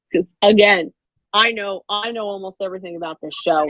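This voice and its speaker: This woman has an ordinary speaking voice at a medium pitch and a moderate pace. The sound is dry and close, with no echo. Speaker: podcast co-host. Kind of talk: casual chat.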